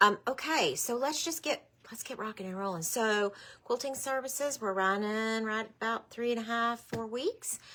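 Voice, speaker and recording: A woman talks at a moderate pace in a bright, sharp tone. The recording is very clean, with a silent background. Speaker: quilt shop owner hosting live sale. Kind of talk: live stream product show.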